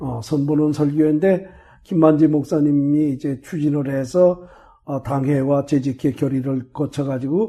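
A man speaks at a fairly slow pace with fairly even intonation. His fairly high voice is somewhat breathy, with a dark, mellow tone. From South Korea, Chungcheong (Chungju area). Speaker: retired pastor and theology lecturer. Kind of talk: interview, life story. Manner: hesitant, many fillers.

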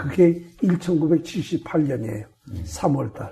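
Pitch varies in an ordinary way. The delivery is very slow. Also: man. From South Korea, Chungcheong (Chungju area). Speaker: retired pastor and theology lecturer. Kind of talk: interview, life story. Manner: hesitant, many fillers.

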